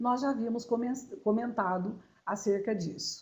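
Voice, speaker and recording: Somewhat breathy and dark, mellow in tone, a woman speaks at a fairly slow pace with audible room echo. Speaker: law lecturer. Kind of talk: lecture.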